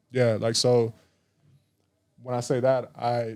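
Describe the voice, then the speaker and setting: In a very clean recording with a silent background, a man with an American accent speaks quietly at a medium pitch, his tone dark and mellow and his intonation flat and monotone. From Arizona, Tucson. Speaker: musician and recording engineer. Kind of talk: casual interview chat. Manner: quiet, chill.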